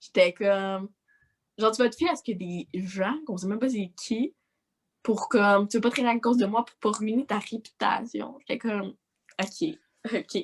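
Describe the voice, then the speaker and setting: A woman with a Quebec accent speaks in a fairly high, somewhat breathy voice, her loudness swinging widely and her speech broken by long, frequent pauses. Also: ordinary pitch variation, moderate pace. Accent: Québécois French. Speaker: social media influencer. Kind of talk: casual chat.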